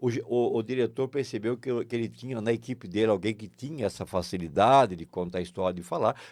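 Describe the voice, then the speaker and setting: At a very fast pace and with hardly any pauses, a man talks at a medium pitch with ordinary pitch variation. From interior of São Paulo state, Brazil. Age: 70s. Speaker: motivational speaker. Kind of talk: interview. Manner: halting, some repetitions.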